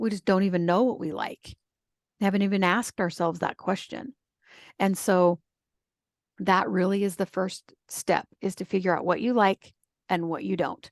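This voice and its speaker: Taking long, frequent pauses, a woman speaks at a medium pitch with fairly even intonation, the sound dry and close with no echo over a quiet background. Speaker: style coach. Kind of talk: interview. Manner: fast.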